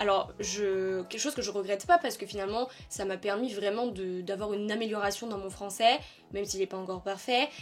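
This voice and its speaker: A woman with a medium pitch talks fairly quickly, her pitch varying in an ordinary way. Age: 20s. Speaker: YouTuber, communications officer. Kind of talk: casual vlog talk. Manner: hesitant, many fillers.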